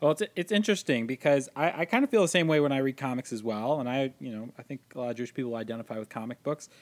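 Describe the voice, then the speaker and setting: A man races along at a very fast pace with hardly any pauses. His medium pitch carries lively intonation, and the sound is dry and close with no echo. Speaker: podcast host. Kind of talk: casual chat.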